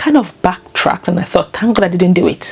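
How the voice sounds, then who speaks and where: Over noticeable background noise, a woman talks at a fairly quick pace with very wide pitch swings. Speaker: lifestyle vlogger. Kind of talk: casual monologue. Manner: fast.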